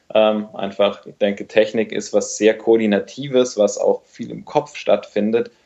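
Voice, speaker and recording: A man speaks at a fairly slow pace. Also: big swings in loudness. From Bavaria, Munich area. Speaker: doctor and running coach. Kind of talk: casual interview.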